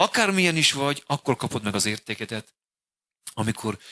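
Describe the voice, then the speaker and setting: Quiet background, a man's bright, sharp tone, moderate pace and very wide pitch swings. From Hungary. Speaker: pastor. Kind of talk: sermon. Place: church. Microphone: handheld.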